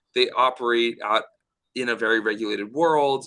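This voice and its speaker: Bright and sharp in tone, a man speaks at medium pitch with ordinary pitch variation. He keeps a moderate pace. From United States. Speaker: startup founder. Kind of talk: podcast interview.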